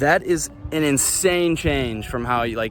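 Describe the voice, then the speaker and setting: Noticeable background noise sits behind a man's voice. His pitch is fairly high, with ordinary variation. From US Midwest, Chicago. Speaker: vlogger. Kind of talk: casual monologue vlog. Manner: animated.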